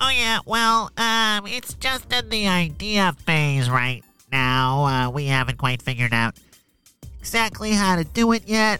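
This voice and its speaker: Faint music sits in the background. A man's fairly high voice makes very wide pitch swings. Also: fairly slow pace. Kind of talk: kids' audio story comedy. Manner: exasperated, sarcastic.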